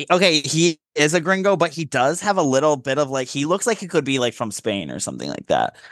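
Over a quiet background with a dry, close sound and no echo, a man with a fairly high pitch talks very fast in an animated tone with lively intonation and hardly any pauses. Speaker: podcast co-host. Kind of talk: casual chat.

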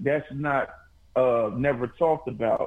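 A man's fairly high voice at a very slow pace. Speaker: rapper. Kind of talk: casual chat.

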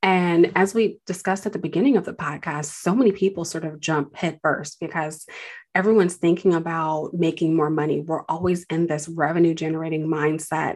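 With a plain, everyday voice, a woman speaks at a fairly quick pace, her fairly low pitch following fairly even intonation. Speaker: podcast host and finance advisor. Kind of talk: casual interview chat.

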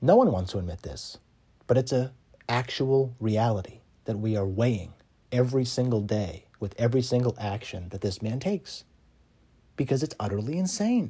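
With an American accent, a man speaks at a moderate pace in a medium pitch, his somewhat breathy voice dark and mellow in tone, with lively intonation. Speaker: podcast host. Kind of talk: political monologue arguing a case, rally-style speech. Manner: impassioned, urgent; emphatic, repetitive for effect.

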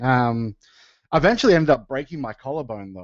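A man speaks with an Australian accent. His pitch is medium, with ordinary pitch variation. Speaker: professional wrestler and musician. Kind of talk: casual chat.

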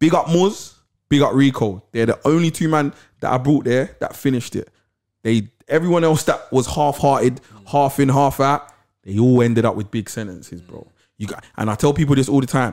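A man with a London accent and a fairly high pitch is heard on a very clean recording with a silent background. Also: ordinary pitch variation, moderate pace. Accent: London Multicultural English. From south London. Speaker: podcast co-host. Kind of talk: casual interview chat.

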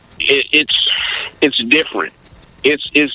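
Over noticeable background noise, a man speaks at a fairly slow pace and a fairly high pitch. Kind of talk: casual interview conversation.

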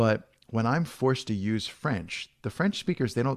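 A man with a normal speaking voice, medium pitch, and an American accent at a moderate pace, in a very clean recording with a silent background. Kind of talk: interview conversation.

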